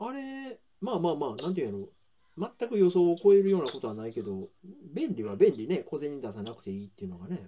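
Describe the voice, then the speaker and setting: Talking at a very fast pace, a man with a high pitch and a dark, mellow tone makes very wide pitch swings and big shifts in loudness. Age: 40s. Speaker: podcast host and baker. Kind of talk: casual chat. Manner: laughs often.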